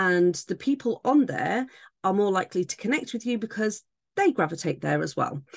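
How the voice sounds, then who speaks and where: A woman speaks at a medium pitch with very wide pitch swings and vocal fry. Her pace is moderate. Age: 30s. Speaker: temporary podcast host for authors. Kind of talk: solo tutorial monologue.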